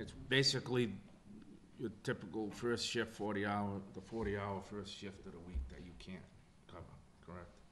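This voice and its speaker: A man's fairly low voice with vocal fry, a moderate pace, long, frequent pauses, ordinary pitch variation, big swings in loudness and noticeable background noise. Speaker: selectboard chairman running the meeting. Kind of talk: town government meeting, chairing. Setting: public town hall meeting. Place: meeting room. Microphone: podium.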